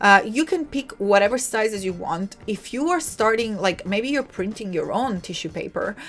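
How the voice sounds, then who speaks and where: A woman with an Italian accent and medium pitch, at a moderate pace, with music in the background. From Italy. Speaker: livestream host, designer. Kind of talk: live tutorial. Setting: live stream. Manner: animated.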